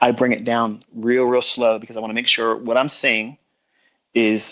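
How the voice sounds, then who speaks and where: At a medium pitch, a man talks against a quiet background. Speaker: trading educator. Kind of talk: casual chat. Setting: online audio space. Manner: fast when passionate.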